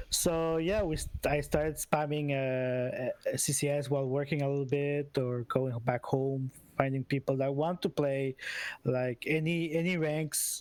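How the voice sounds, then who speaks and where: A man with a non-native accent speaks at a fairly slow pace in a fairly high pitch, with fairly even intonation. His loudness stays very even, and the sound is dry and close with no echo. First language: not English. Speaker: esports team captain. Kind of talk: post-match interview. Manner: halting.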